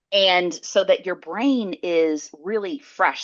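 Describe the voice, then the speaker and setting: Her intonation lively, a woman at medium pitch talks with a Southern US accent. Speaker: psychologist and entrepreneur. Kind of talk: podcast interview.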